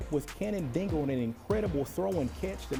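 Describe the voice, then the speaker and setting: An energetic man at a moderate pace, lively intonation, music in the background. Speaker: sports anchor and reporter. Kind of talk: sports highlights play-by-play.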